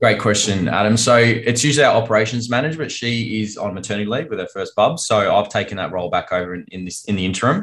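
Speaking at a very fast pace with hardly any pauses, a man with an Australian accent talks at a medium pitch. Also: ordinary pitch variation. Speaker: financial advisor. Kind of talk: casual business conversation. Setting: video call.

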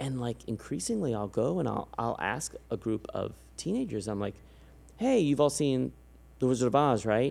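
With lively intonation and an American accent, a man talks at a moderate pace in an ordinary speaking voice. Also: medium pitch for a man. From San Antonio, Texas. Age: 40s. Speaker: podcast host. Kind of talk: casual interview chat.

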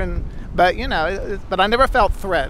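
A man's fairly quick, lively-intoned speech amid noticeable background noise. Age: 60s. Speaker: drag performer. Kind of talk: interview.

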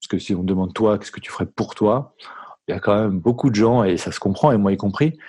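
A man speaks at a fairly low pitch and a fairly quick pace, his tone dark and mellow. The background is quiet. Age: 40s. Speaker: founder of a management training firm. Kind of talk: interview.

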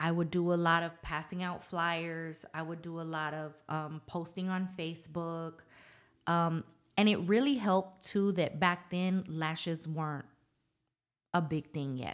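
A woman with a fairly low pitch and a normal speaking voice talks at a fairly slow pace with fairly even intonation, on a very clean recording with a silent background. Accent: American. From Norfolk, Virginia. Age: 40s. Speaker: lash salon owner. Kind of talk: casual interview.

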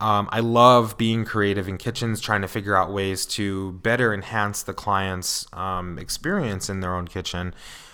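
At a moderate pace and with hardly any pauses, a man talks in a bright, sharp, fairly low voice with fairly even intonation. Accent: American. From New York. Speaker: interior designer. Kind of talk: casual solo podcast monologue. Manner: casual, filler-heavy.

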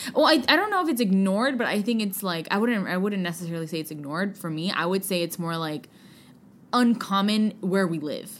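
A woman with an American accent talks at a fairly quick pace in a medium pitch. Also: lively intonation. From US West Coast, San Francisco. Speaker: podcast co-host. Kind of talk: casual chat.

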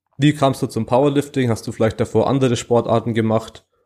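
At a fairly quick pace, a man with a medium pitch and fairly even intonation speaks in an unremarkable speaking voice. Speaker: podcast host. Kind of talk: casual chat.

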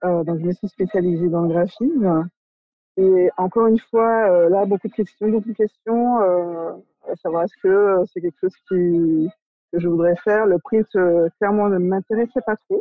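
Fairly even in intonation, the woman's speech moves at a fairly slow pace. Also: medium pitch for a woman. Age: 30s. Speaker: art director. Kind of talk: interview. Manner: halting.

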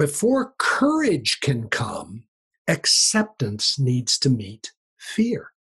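A man speaks at a very slow pace, the sound dry and close with no echo. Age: 60s. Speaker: leadership coach and author. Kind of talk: interview conversation.

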